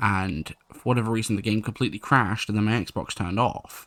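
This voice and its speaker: The recording is very clean, with a silent background. A man speaks quietly at a fairly low pitch, his tone bright and sharp, with ordinary pitch variation. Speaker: gaming YouTuber and streamer. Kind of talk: gameplay commentary. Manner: a little quiet, late-night recording.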